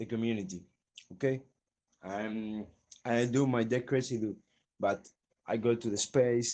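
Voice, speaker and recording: In a dark, mellow tone, a man speaks at a fairly slow pace with monotone, flat intonation. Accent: Spanish. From Cuba. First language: Spanish. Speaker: NFT artist. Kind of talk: casual chat. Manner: halting.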